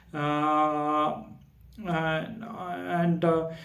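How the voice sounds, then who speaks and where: Room echo is audible as a man speaks with a non-native accent. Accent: non-native, self-noted pronunciation issues. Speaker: Bible study YouTuber. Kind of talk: video lecture on Bible history. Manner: halting, many fillers.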